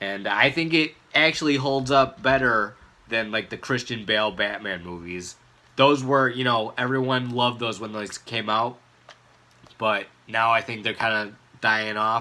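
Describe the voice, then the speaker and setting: A man talks in an ordinary speaking voice at a moderate pace, with ordinary pitch variation. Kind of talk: casual vlog chat. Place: home room. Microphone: phone near.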